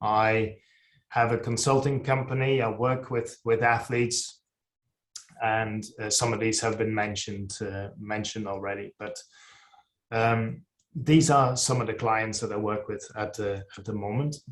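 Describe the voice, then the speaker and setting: A man's medium-pitched, somewhat breathy voice with fairly even intonation at a fairly slow pace. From Netherlands. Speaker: sports nutrition scientist. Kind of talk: presentation. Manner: halting, many fillers.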